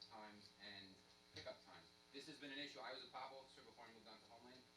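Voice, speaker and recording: Audible room echo surrounds a man speaking at a very fast pace with fairly even intonation. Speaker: police officer. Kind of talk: public meeting presentation. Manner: loud.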